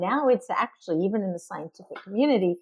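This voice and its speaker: This is a normal speaking voice. The woman's pitch is medium, with ordinary variation. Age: 60s. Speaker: linguist and author. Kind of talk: interview. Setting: podcast interview.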